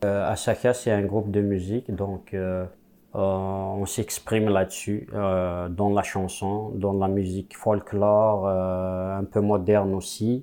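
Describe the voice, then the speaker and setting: A man's very slow, fairly low-pitched speech in an Algerian accent, with monotone, flat intonation. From Kabylie, Algeria. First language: Kabyle (speaking French). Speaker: musician. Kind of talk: interview testimony. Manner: halting.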